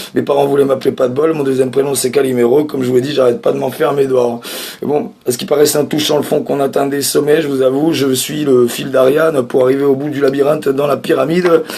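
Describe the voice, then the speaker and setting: Noticeable background noise sits under the speech. The delivery is very fast, with fairly even intonation. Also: man, fairly high pitch for a man. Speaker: comedian. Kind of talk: stand-up.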